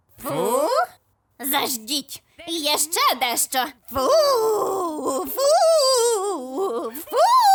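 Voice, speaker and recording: In a cartoonish character voice, a woman speaks in a high pitch with very wide pitch swings. Her pace is very slow, broken by long, frequent pauses. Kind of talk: comedy cartoon dub.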